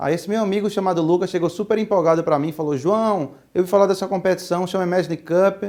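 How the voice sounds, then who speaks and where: With a Pernambuco accent, a man speaks at a high pitch with fairly even intonation in a very clean recording with a silent background. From Pernambuco, Brazil. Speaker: entrepreneur, speaker. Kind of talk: talk to students. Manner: casual, with many fillers.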